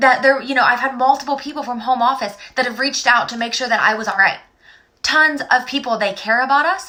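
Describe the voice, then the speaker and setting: A woman's raised, projected voice, high-pitched and animated, at a fairly quick pace. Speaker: direct sales director. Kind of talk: sales pitch. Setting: live stream. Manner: fast.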